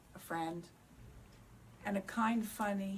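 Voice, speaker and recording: The pace is fairly slow. A woman's voice carries audible room echo. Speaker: bereaved parent speaking on addiction. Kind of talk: panel talk. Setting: synagogue event with audience. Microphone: speaking without microphone.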